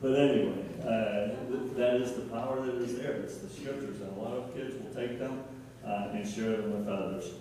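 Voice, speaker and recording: Strong room echo carries a man's voice, with light background noise underneath. He keeps a moderate pace and ordinary pitch variation. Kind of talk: church talk to congregation. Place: church. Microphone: camera far.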